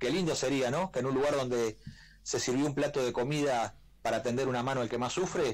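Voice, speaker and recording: This man has a plain, everyday voice, talking at a fairly quick pace with fairly even intonation. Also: medium pitch for a man, very even loudness. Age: 40s. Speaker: presidential pre-candidate. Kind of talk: radio interview.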